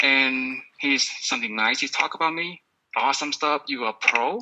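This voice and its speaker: A man talks with a Vietnamese accent. His pitch is medium and varies in an ordinary way. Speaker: podcast coach. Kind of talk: sales pitch. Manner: animated.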